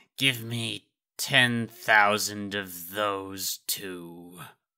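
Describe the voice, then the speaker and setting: In a put-on character voice, a man speaks very slowly at a fairly low pitch. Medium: dub.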